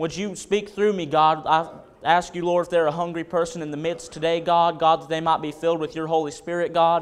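The speech moves at a fairly quick pace. The intonation stays monotone and flat. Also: man, high pitch for a man. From North Carolina, Wilkesboro and Caldwell County area. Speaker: preacher. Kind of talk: sermon. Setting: church. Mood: earnest, reverent. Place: church. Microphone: podium.

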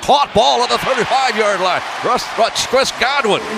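A man talks over loud background noise. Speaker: radio sports commentator. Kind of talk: live radio play-by-play. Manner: fast, energetic. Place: booth.

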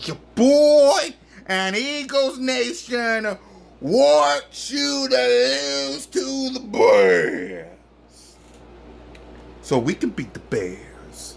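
A man speaks at an extremely high pitch and a very slow pace. His voice has vocal fry and big pitch swings.

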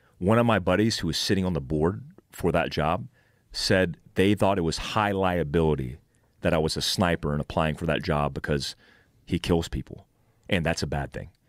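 A man with a very deep, low pitch and vocal fry speaks at a fairly quick pace, with ordinary pitch variation. The sound is dry with no echo, over a quiet background. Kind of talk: interview answer. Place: studio. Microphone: studio mic.

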